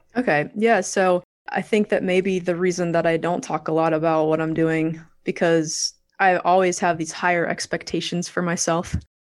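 A woman with an American accent talks at a moderate pace in a fairly low pitch, with fairly even intonation. It is a normal speaking voice over a quiet background. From Virginia Beach, US. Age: 40s. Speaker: real estate investor.

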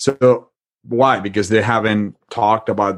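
A man speaks with a Spanish accent at a fairly low pitch. His intonation is fairly even. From Spain, Madrid. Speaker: author and marriage retreat facilitator. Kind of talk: interview, faith-based conversation.

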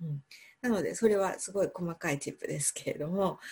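A woman talks fairly quickly in a somewhat breathy voice whose pitch varies in an ordinary way. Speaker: English pronunciation coach. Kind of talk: interview.

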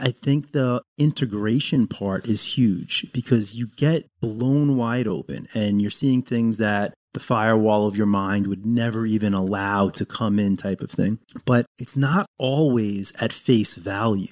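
A man with a plain, everyday voice speaks at a fairly slow pace with hardly any pauses, his medium pitch showing ordinary variation, on a very clean recording with a silent background. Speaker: podcast co-host. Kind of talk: casual conversational podcast discussion.

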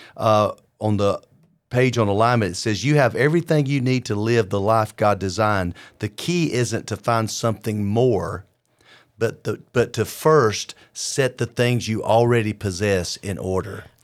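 With an ordinary speaking voice, a man talks at a medium pitch and moderate pace with ordinary pitch variation. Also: very clean recording, silent background. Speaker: podcast host and preacher. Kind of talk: devotional teaching podcast. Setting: video podcast.

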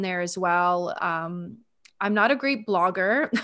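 Speaking in a normal speaking voice with a Canadian accent, a woman talks at a fairly slow pace, her medium pitch showing ordinary variation. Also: very clean recording, silent background. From Ontario, Canada. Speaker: sales and energy mentor. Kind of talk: casual interview.

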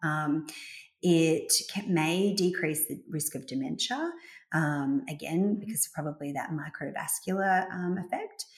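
With an ordinary speaking voice, a woman talks at a fairly slow pace, her pitch fairly low and ordinary in its variation. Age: 40s. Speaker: gynaecologist. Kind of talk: interview.

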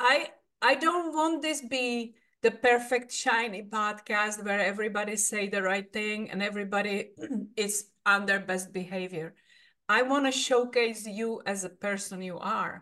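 Slightly slow in pace, a woman with a Czech accent speaks at fairly high pitch in a bright, sharp tone with ordinary pitch variation. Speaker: podcast host. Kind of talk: interview.

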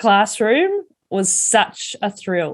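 At a very slow pace, a woman with an Australian accent speaks in a medium-pitched voice. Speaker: wellbeing speaker and coach. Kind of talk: personal storytelling monologue.

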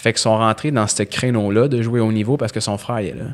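Here is a man with a normal speaking voice and a fairly low pitch. The recording is very clean, with a silent background. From Quebec, Montreal West Island. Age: 20s. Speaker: strength and conditioning coach. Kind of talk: interview conversation.

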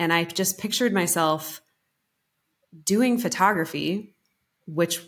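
A woman with an American accent has a normal speaking voice and ordinary pitch variation, recorded very cleanly against a silent background. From Colorado. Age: 30s. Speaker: business coach. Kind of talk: casual interview chat.

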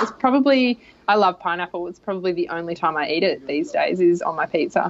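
A woman speaks with an Australian accent. Her pitch is fairly low and her pace is moderate. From rural Australia. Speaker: leadership coach and consultant. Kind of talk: interview.

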